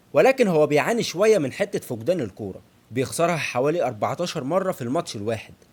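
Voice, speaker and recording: Speaking fairly quickly in an Egyptian accent, a man uses a high pitch, very wide pitch swings and an animated tone. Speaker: football analyst YouTuber. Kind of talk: football analysis monologue.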